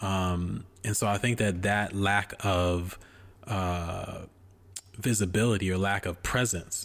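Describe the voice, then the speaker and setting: This man speaks at a fairly low pitch. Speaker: podcast host. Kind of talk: casual chat about movies and TV. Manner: animated, conversational.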